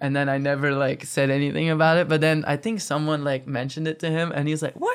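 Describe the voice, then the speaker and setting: Amid noticeable background noise, a man with a fairly high voice talks at a very fast pace with hardly any pauses and fairly even intonation. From Belgium, Poperinge (Flanders). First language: Flemish. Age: 20s. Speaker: professional skateboarder. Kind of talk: casual interview.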